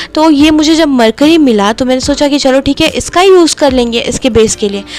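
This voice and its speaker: Typical rise and fall of pitch, a middling tempo, and clearly audible noise behind. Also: woman, high pitch for a woman. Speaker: DIY craft youtuber. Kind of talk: tutorial with voice-over narration. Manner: casual chatty.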